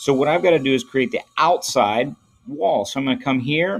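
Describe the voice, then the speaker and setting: Moderate pace from a male speaker. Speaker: teacher. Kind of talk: tutorial. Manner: casual. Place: home room.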